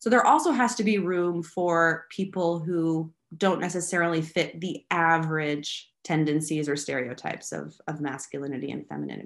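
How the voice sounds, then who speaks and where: With an American accent and an ordinary speaking voice, a woman talks at a moderate pace with hardly any pauses, her pitch fairly low with ordinary variation, against a quiet background. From United States. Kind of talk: interview.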